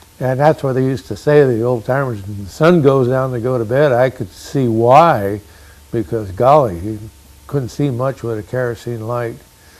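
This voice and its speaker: A man's medium-pitched voice with ordinary pitch variation and noticeable background noise. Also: moderate pace. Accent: American. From Fremont area, Northern California. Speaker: rancher. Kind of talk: oral history interview. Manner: hesitant, frequent uh fillers.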